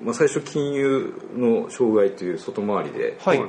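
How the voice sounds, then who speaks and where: Noticeable background noise is present. Over it, a man talks at a fairly slow pace. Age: 40s. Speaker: agricultural cooperative staff. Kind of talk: casual chat.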